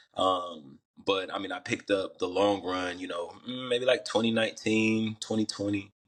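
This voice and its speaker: The speaker has a slight Southern US accent, a moderate pace and fairly even intonation. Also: man. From US South, Atlanta, Georgia. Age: young. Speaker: rapper and runner. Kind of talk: podcast interview. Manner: casual, filler-heavy.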